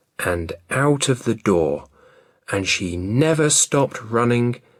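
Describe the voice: Lively intonation in plain reading aloud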